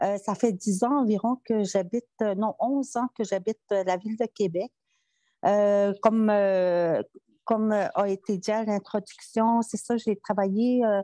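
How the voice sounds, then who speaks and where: Fairly slow speech with ordinary pitch variation, a quiet background and a dry, close sound with no echo. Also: woman, fairly high pitch for a woman. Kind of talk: conference talk. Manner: halting, many hesitations.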